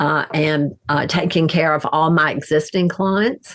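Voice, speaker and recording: With an American accent, a woman speaks at a very slow pace in a fairly low pitch, her intonation fairly even. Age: 70s. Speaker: interior designer and author. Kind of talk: interview.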